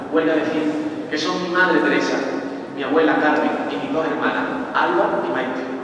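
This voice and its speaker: Ordinary pitch variation amid noticeable background noise and strong room echo. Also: man. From Rute, Córdoba, Andalusia. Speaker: festival proclamation speaker. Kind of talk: poetic pregón, emotional tribute speech to women of his family. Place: church. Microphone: pa.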